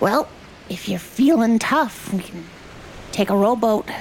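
A put-on character voice speaks at a fairly slow pace. Clear background noise runs underneath. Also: female-sounding voice, fairly high pitch for a woman. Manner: tough, salty.

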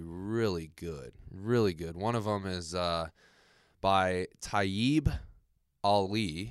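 Recorded very cleanly against a silent background, a man speaks in a very deep, low pitch. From Las Vegas and Southern California. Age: 20s. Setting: office.

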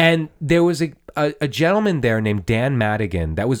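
A man with very wide pitch swings, in a very clean recording with a silent background. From Iran heritage, American. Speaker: podcast host. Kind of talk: casual chat, movie podcast. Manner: enthusiastic, eager, interjecting.

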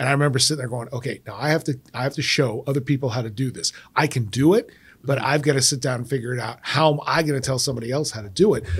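A man with a Midwestern American accent at a very fast pace, medium in pitch and somewhat breathy. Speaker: podcast host, former teacher. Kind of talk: interview. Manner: animated.

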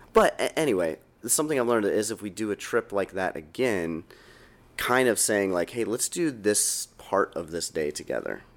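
This man's voice sits fairly low in pitch. He talks at a moderate pace with lively intonation. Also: very clean recording, silent background. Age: 30s. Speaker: podcast co-host, parent. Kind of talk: casual chat.

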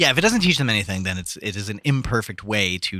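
On a very clean recording with a silent background, a man with a bright, sharp tone speaks at a moderate pace in an American accent. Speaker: podcast co-host.

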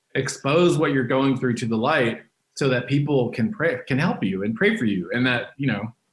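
With an American accent, a man speaks in a somewhat breathy voice with lively intonation. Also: medium pitch for a man, moderate pace, very even loudness. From Texas, Dallas. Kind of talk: interview testimony.

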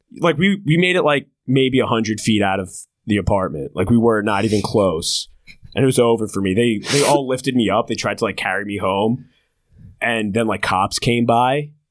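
With an American accent, this man has an unremarkable speaking voice at a medium pitch, talking at a moderate pace with lively intonation on a very clean recording with a silent background. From New Jersey shore. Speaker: comedian and comedy show producer. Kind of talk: casual chat.

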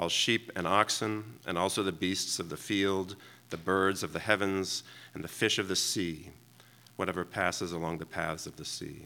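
A man's very deep, low voice with a bright, sharp tone, fairly even intonation and a moderate pace. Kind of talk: reading aloud. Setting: church.

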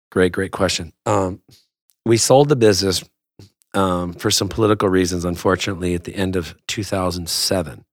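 A man with a Southern Californian accent talks at a fairly quick pace, his pitch very deep and low with ordinary variation. The recording is very clean, with a silent background. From Southern California, West Covina. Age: 50s. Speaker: action sports entrepreneur. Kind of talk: casual interview. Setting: studio. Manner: halting, many fillers and repeats.

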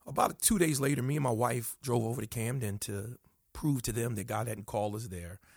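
Here a man talks at a fairly quick pace in an animated, somewhat breathy voice with ordinary pitch variation. The recording is very clean, with a silent background. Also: medium pitch for a man. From northern New Jersey, US. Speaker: pastor and church planter. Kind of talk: interview.

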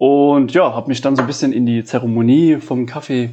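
Fairly quick, medium-pitched man's voice with fairly even intonation against noticeable background noise. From Saarland, Germany (Bliesgau). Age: 30s. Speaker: coffee roaster. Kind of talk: casual interview chat. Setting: his living room.

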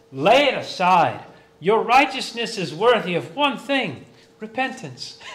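Against clear background noise and a noticeable echo of the room, the intonation moves with energy. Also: man, high pitch for a man, fairly slow pace. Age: 40s. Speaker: pastor. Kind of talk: sermon.

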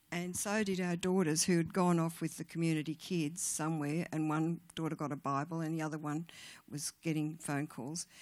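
In a very clean recording with a silent background, a woman with an Australian accent speaks at a moderate pace, her very deep, low pitch held in fairly even intonation. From Australia, rural New South Wales. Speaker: guest speaker at church women's event. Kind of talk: testimony.

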